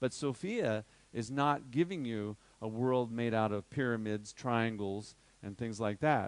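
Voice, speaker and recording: At a fairly slow pace, a man talks in a plain, everyday voice at medium pitch with ordinary pitch variation. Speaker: workshop teacher on crystal healing. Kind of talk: lecture.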